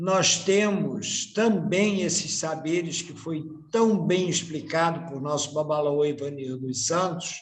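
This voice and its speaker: A man's high pitch with ordinary pitch variation, a very slow pace and audible room echo. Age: 60s. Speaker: candomblé priest. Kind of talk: panel talk.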